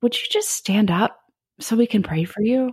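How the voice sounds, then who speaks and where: A woman speaks at a fairly high pitch in a somewhat breathy voice with ordinary pitch variation. The sound is dry and close, with no echo. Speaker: senior pastor and author. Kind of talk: interview conversation.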